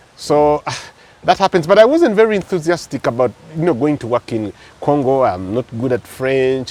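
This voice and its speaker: This man's voice sits fairly high and swings very widely in pitch. He keeps a moderate pace, and the sound is dry and close with no echo. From Uganda. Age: 50s. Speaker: radio DJ and MC. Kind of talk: interview storytelling. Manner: animated.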